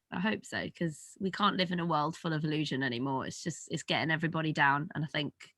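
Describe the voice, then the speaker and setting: A woman with a British accent talks at a very fast pace with hardly any pauses. Her voice is very deep and low in pitch, bright and sharp in tone, with ordinary pitch variation. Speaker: musician in a pop duo. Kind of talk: interview. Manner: animated.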